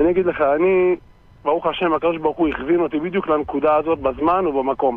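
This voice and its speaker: A man with a fairly high pitch and fairly even intonation talks at a very fast pace, the sound dry with no echo. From Israel, West Bank settlement; Israel. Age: 40s. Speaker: reserve soldier; interview guest. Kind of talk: interview. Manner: emphatic. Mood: indignant, defiant. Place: studio.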